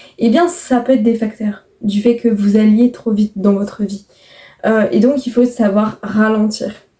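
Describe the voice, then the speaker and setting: Calm and fairly slow, a woman speaks in a fairly high pitch with a dark, mellow tone, somewhat breathy, and with fairly even intonation. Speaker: YouTuber. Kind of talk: casual podcast-style monologue. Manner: deliberately calm, slowed pace.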